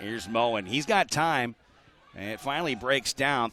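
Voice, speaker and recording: The speaker is a man. Noticeable background noise is present. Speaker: play-by-play sports announcer. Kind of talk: live high school football play-by-play broadcast. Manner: fast, excited play-by-play calling.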